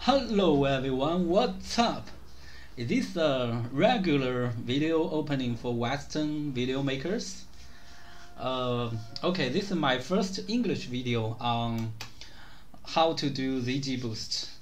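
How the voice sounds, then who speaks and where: With noticeable background noise and audible room echo, a man in a non-native accent speaks very slowly at a medium pitch with lively intonation. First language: not English. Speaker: gaming video creator. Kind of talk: tutorial.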